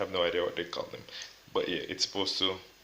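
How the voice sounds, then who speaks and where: Over noticeable background noise, a man speaks in a soft-spoken way. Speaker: tech youtuber. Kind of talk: unboxing tutorial. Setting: at home.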